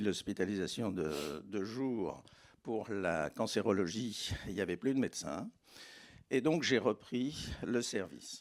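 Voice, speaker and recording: Over a very clean recording with a silent background, a man speaks at medium pitch. His pace is very slow and his intonation lively. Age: 70s. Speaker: doctor. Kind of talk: panel discussion.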